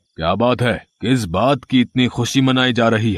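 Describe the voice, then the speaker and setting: Putting on a cartoonish character voice at a medium pitch, a man talks at a moderate pace in a dry, close sound with no echo. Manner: harsh, contemptuous.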